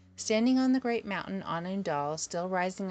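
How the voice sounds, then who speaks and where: This woman has a normal speaking voice at a medium pitch with ordinary pitch variation. She speaks at a moderate pace against a quiet background. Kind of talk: audiobook reading of a mystical text.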